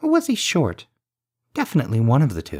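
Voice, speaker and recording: A man's put-on character voice, fairly high in pitch and fairly quick in pace. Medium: read story. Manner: patient.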